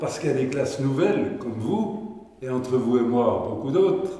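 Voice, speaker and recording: At a fairly slow pace, a man with a medium pitch speaks over noticeable background noise. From France, Franche-Comté. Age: 80s+. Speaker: retired mayor and senator. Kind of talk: interview answer.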